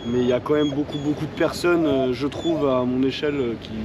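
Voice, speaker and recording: Noticeable background noise sits behind a man talking at a fairly quick pace. His medium-pitched voice has a monotone, flat intonation. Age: 20s. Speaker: homeless man. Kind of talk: street interview. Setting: outdoors, street. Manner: halting, many fillers.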